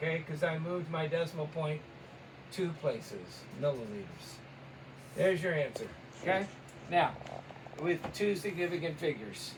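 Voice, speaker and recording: A man with a high voice and ordinary pitch variation takes long, frequent pauses, with audible room echo and noticeable background noise. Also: moderate pace. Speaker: chemistry teacher. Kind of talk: tutorial.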